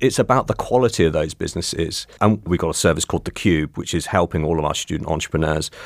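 A man talks at a very fast pace in a West Country accent, with hardly any pauses. His pitch is very deep and low. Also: ordinary pitch variation. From Cornwall. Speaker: university business engagement manager. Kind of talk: interview conversation. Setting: studio.

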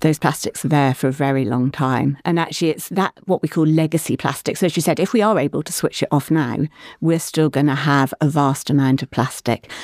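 In a very clean recording with a silent background, a woman with a very deep, low voice talks at a fairly quick pace with hardly any pauses and ordinary pitch variation. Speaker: marine scientist, professor. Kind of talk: casual interview chat. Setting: studio.

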